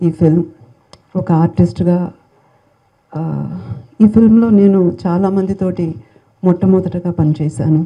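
A woman's fairly low, somewhat breathy voice with ordinary pitch variation, against a quiet background. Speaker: film actress. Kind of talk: public speech at film event. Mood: warm, grateful, soft-spoken. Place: hall. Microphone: handheld.

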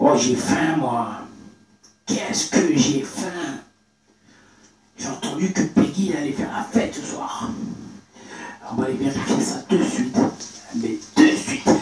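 A man does a raspy, cartoonish character voice pitched high for a man, with very wide pitch swings, a fairly slow pace, long, frequent pauses and a slight echo. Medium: puppet.

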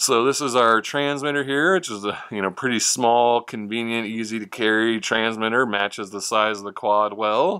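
Against a quiet background, a man talks at a moderate pace. His tone is bright and sharp, and his pitch varies in an ordinary way. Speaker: hobby product reviewer. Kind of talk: product review commentary. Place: home room. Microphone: camera far.

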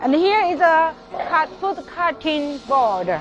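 A very slow pace, dry sound with no echo, and clear music in the background. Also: woman. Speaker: sales representative. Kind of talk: product demonstration. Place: factory.

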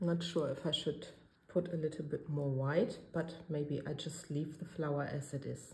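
A woman's very deep, low voice, somewhat breathy, with flat, monotone intonation, a German accent and a moderate pace. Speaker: resin art crafter. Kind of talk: tutorial. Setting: home studio. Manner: hesitant, filler-heavy.

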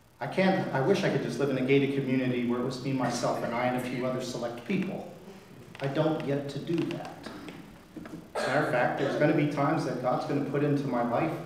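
Speaking at a very fast pace, a man is heard with audible room echo. Light background noise sits behind him. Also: fairly even intonation. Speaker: priest. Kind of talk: sermon. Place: church.

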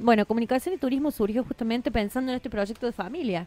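This is a normal speaking voice. The pitch variation is ordinary. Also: woman. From Argentina, Córdoba province. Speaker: TV journalist and presenter; TV journalist, presenter. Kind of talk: radio interview. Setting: radio studio. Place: studio.

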